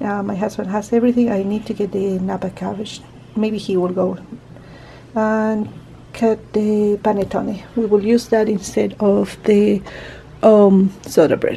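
A woman with a non-native accent talks at a fairly slow pace, leaving long, frequent pauses, her intonation fairly even over light background noise. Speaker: home vlogger. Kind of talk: casual vlog talk to camera. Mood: calm, relaxed. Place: home room. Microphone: phone near.

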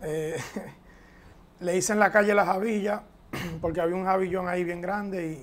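At a moderate pace with long, frequent pauses, a man speaks in a high pitch with fairly even intonation. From Dominican Republic, San Isidro near Santo Domingo; Dominican Republic. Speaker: professional baseball catcher; interviewee. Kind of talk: interview. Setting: at his home. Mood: relaxed, reflective. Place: studio. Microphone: lapel.

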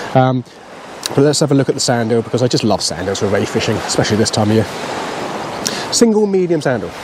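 A man talks with noticeable background noise. The sound is dry, with no echo. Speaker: presenter. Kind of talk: tutorial. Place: beach. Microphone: lapel.

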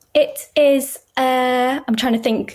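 Ordinary pitch variation in a Yorkshire accent. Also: woman. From northern England, Yorkshire. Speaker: writer and consultant with chronic illness. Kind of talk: casual chat. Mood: warm, thoughtful. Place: home room.

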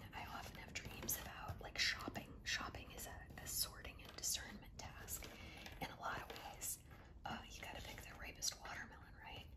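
Whispering from a woman, at a moderate pace. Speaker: ASMR creator. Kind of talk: ASMR talk while doing a jigsaw puzzle. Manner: whispered. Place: home room. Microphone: phone near.

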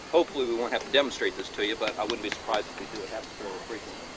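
Noticeable background noise behind a man's dry voice with no echo. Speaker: reenactment narrator. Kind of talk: demonstration commentary to audience. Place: open country. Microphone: old recording.

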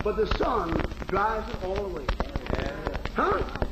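Fairly slow speech amid loud background noise and audible room echo. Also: man. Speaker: preacher. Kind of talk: sermon. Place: church. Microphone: old recording.

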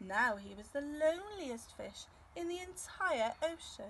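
A woman talks at a fairly slow pace with lively intonation.

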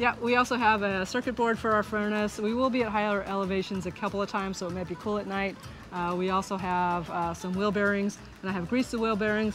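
Dry and echo-free, a woman's voice races along at a very fast pace with fairly even intonation. Light background noise can be heard. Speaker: RV travel vlogger. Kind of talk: casual vlog chat. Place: garden. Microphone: phone near.

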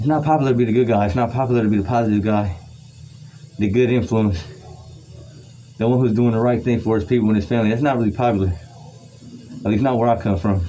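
A man talks at a very fast pace with very even loudness and ordinary pitch variation. Light background noise sits behind him. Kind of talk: motivational talk during a workout. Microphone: phone near.

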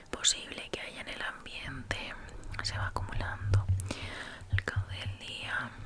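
A woman whispers in a soothing tone. She is soft-spoken. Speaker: ASMR creator. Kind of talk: soft ASMR roleplay talk. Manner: soft close whisper, slow and soothing. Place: home room. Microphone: studio mic.

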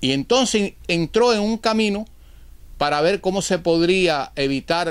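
The man speaks with lively intonation. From Cuba. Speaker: political commentator. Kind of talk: political monologue. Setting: at home. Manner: formal. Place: home room. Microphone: lapel.

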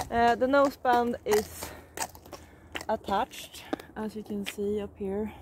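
Against light background noise, a woman with a Swedish accent speaks at a very slow pace in a dry sound with no echo. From Sweden. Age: 30s. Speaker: riding instructor. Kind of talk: casual vlog talk to camera. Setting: outdoors. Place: open country. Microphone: phone near.

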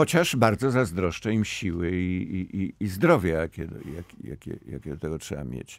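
A man with a very deep, low pitch and vocal fry speaks with lively intonation and big swings in loudness. The sound is dry with no echo, over a quiet background. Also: moderate pace. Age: old. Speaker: novelist; guest. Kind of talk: radio interview. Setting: studio. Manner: halting, with many repetitions. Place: studio. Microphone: studio mic.

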